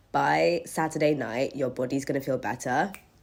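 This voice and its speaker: Over a very clean recording with a silent background, a woman with a husky, very deep, low voice speaks at a moderate pace in an animated tone. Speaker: vlogger. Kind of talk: casual storytime chat.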